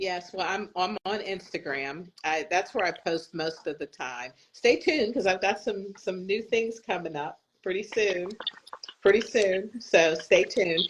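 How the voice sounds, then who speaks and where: Speaking at a fairly slow pace, a woman uses an ordinary speaking voice with ordinary pitch variation and medium pitch. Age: 60s. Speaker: patient advocate. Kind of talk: interview.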